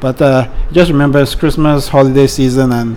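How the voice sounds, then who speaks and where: A man at a moderate pace and medium pitch, over noticeable background noise. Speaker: podcast co-host. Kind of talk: casual chat.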